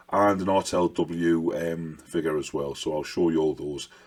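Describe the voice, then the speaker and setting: A man with an English accent speaks in a very deep, low pitch and fairly even intonation, recorded very cleanly against a silent background. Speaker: miniature wargaming hobby youtuber. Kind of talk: casual hobby vlog.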